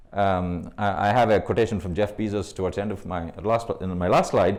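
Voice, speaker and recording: A man's voice with vocal fry. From India. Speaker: AI consultant speaker. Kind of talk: meetup talk. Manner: fast; hesitant, many fillers.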